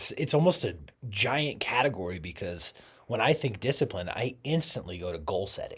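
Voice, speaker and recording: At a medium pitch and a moderate pace, a man speaks somewhat breathily with very wide pitch swings. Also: very clean recording, silent background. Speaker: podcast co-host. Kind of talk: casual chat.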